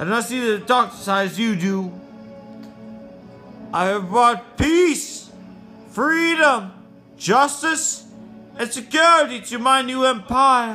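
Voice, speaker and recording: An extremely high-pitched put-on character voice from a man, raised and projected, at a fairly slow pace with long, frequent pauses over clear music in the background. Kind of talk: amateur fan dub. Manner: angry, defiant, accusatory.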